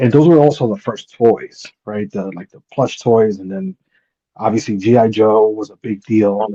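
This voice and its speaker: A man's fairly low, dark, mellow voice with a Spanish accent, ordinary pitch variation and big swings in loudness at a moderate pace, dry and close with no echo. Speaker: hat collector. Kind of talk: casual chat.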